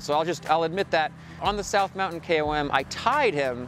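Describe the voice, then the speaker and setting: Faint music plays behind a man with a high pitch and ordinary pitch variation. The sound is dry, with no echo. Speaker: cyclist vlogger. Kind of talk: casual vlog chat. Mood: playful, joking. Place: street.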